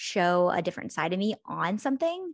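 A woman talks at a moderate pace against a quiet background. The sound is dry and close, with no echo. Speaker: podcast co-host, influencer. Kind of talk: casual chat. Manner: animated.

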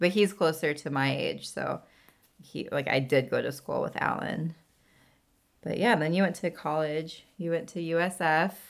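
The recording is very clean with a silent background as a woman with an ordinary speaking voice talks at a moderate pace, a fairly low pitch and ordinary pitch variation. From California. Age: 30s. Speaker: podcast host. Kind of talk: casual chat.

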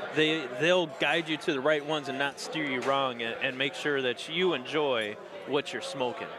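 Noticeable background noise accompanies a man speaking at a moderate pace and fairly high pitch with ordinary pitch variation. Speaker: podcast host. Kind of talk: casual chat.

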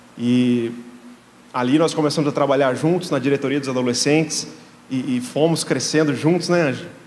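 A man speaks at a moderate pace with a fairly high pitch and fairly even intonation. Room echo is audible. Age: 30s. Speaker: guest pastor. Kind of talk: sermon.

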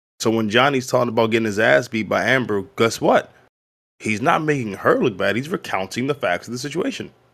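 In a plain, everyday voice, a man with an American accent talks at a fairly quick pace, at medium pitch with ordinary pitch variation, on a very clean recording with a silent background. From US, Baltimore, Maryland. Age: 30s. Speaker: comedian. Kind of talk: casual chat.

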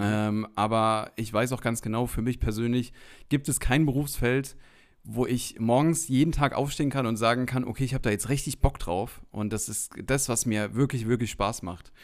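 Over a silent background in a very clean recording, a man uses a normal speaking voice at medium pitch, with ordinary pitch variation and a moderate pace. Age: 30s. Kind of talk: casual chat.

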